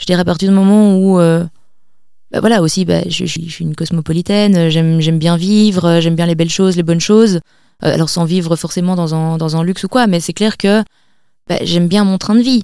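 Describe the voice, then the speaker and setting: Speaking at a fairly quick pace, a woman with a fairly low pitch keeps her intonation fairly even in a dark, mellow tone. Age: 20s. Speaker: community founder, entrepreneur. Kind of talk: interview.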